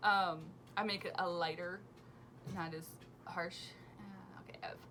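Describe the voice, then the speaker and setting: A woman with a fairly low-pitched voice speaks in a room with audible echo. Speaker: knitting podcast host. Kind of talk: casual chat. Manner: fast; energetic.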